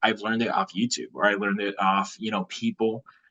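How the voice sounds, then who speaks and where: This man has an unremarkable speaking voice and an American accent. His intonation is lively. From California. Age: 20s. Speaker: real estate investor. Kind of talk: interview.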